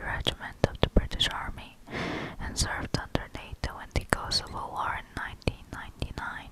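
A woman is whispering. Her voice is breathy. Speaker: ASMR creator. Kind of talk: ASMR Wikipedia reading. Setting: close-up condenser microphone recording. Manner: whispered, soft, breathy. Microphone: studio mic.

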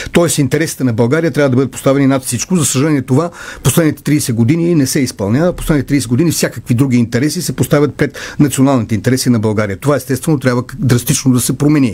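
A man's somewhat breathy voice at a very fast pace, with ordinary pitch variation and very even loudness. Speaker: candidate. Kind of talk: political debate statement. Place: studio. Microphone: studio mic.

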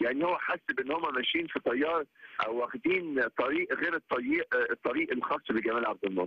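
The loudness stays very even as a man talks at a moderate pace. He leaves hardly any pauses. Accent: Egyptian. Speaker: criminal court judge. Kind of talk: TV interview.

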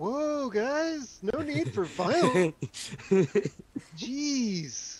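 In a put-on character voice, the speaker talks very slowly at a fairly high pitch, with very wide pitch swings and long, frequent pauses. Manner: laid-back, pleading.

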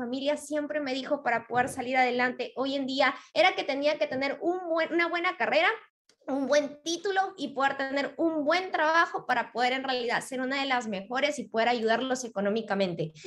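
A woman talks at a fairly quick pace. Her pitch is high, with ordinary variation. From Peru. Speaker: network marketing member. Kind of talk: testimony. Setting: live online stream. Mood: upbeat, grateful. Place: home room. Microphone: video call.

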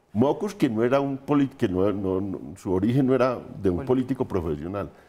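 A man's dark, mellow voice with vocal fry at a fairly quick pace. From Colombia. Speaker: political analyst. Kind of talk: panel discussion. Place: studio. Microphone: lapel.

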